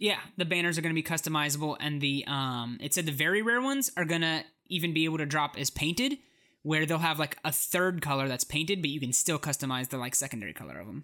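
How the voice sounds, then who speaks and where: Speech comes at a very fast pace. The recording is very clean with a silent background. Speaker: podcast host. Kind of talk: casual chat.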